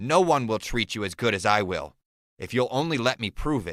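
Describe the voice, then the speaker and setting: Using a put-on character voice, a man growls at a medium pitch and a moderate pace with lively intonation, in a dry, close sound with no echo. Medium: read story.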